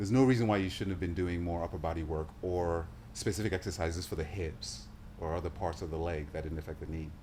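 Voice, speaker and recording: Very fast, somewhat breathy male voice, very deep and low, with ordinary pitch variation. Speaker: health professional, show host. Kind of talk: interview questions, casual conversation.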